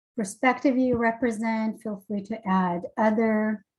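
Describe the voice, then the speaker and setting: A woman's very slow, somewhat breathy voice with ordinary pitch variation. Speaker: webinar facilitator. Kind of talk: webinar moderation. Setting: video call.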